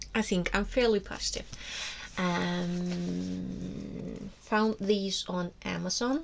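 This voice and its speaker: With an Icelandic accent, the words come out at a very slow pace. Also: woman. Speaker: book vlogger. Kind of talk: casual monologue to camera. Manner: hesitant, many fillers and restarts.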